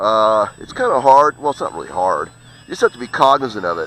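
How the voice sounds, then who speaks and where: The man's bright, sharp tone comes across in a dry, close sound with no echo. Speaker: RC plane hobbyist video host. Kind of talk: casual live commentary while flying. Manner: casual, hesitant with many fillers.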